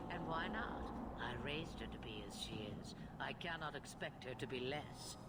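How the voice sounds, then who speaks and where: Loud background noise sits behind a put-on character voice delivered at a moderate pace. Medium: game stream. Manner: cryptic, amused, measured.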